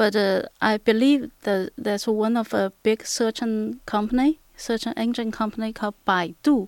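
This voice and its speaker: A woman with a Chinese accent speaks at a fairly slow pace, her fairly high voice held in fairly even intonation. The recording is very clean with a silent background and a dry, close sound with no echo. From Shanghai, China. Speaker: app user. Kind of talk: casual chat.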